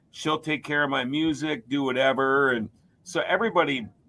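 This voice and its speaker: Bright and sharp in tone, a man with an American accent and a fairly high pitch speaks at a moderate pace with ordinary pitch variation. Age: 50s. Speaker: race and hockey announcer, podcast host. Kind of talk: casual chat. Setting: studio.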